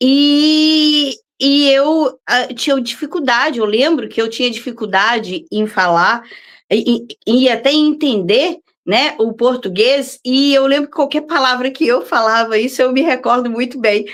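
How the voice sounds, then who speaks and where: A woman with a high pitch and ordinary pitch variation speaks at a fairly slow pace, keeping her loudness very even. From Brazil, Belo Horizonte (Minas Gerais). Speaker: visual artist. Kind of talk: interview. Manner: hesitant, many fillers.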